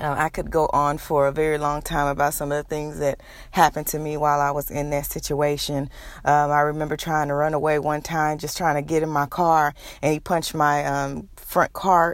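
In a very clean recording with a silent background, a woman with an American accent speaks in a monotone, flat intonation at a very deep, low pitch. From Texas, Houston. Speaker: podcaster, domestic violence survivor. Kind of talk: personal testimony monologue. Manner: hesitant, frequent fillers.

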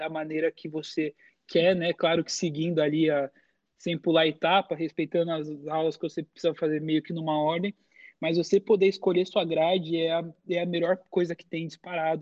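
At a moderate pace, the speaker talks in a flat monotone with a Brazilian accent. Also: man. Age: 20s. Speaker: college esports athlete and content creator. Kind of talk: casual interview.

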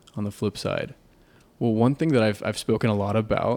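A man with an unremarkable speaking voice talks at a fairly quick pace, medium in pitch and fairly even in intonation. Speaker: recurring podcast guest. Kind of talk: casual chat.

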